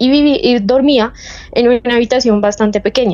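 A woman with a Bogotá accent talks at a moderate pace with ordinary pitch variation, and there is noticeable background noise. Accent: Bogotá Colombian Spanish. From Bogotá, Colombia. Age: 20s. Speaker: caller sharing paranormal story. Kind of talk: personal testimony. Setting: remote call.

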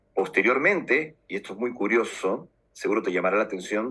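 A man talks at a moderate pace. Music plays behind him. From Peru, Lima. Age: 40s. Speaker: UFO contactee and author. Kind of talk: interview testimony.

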